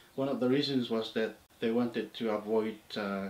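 Audible room echo surrounds the man as he talks. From Papua New Guinea, Morobe Province. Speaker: oral history narrator. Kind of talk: interview answer, oral history. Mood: calm reflective recounting. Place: home room.

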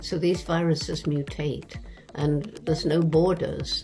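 A woman speaks at a fairly slow pace with clear music in the background. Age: 80s+. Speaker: anthropologist. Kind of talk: interview answer. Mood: calm, earnest. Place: home room. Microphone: webcam.

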